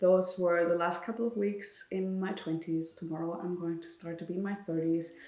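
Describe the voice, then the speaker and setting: Flat, monotone delivery in a German accent at a moderate pace, hardly any pauses, and audible room echo. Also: woman, fairly low pitch for a woman. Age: 20s. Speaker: vlogger and author. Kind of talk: casual chat.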